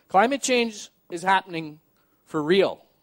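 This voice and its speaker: A man with a Canadian accent, high-pitched, at a very slow pace with ordinary pitch variation, against a quiet background. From Canadian Prairies. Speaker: journalist and sailor; journalist. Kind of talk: public talk. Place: stage. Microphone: headset.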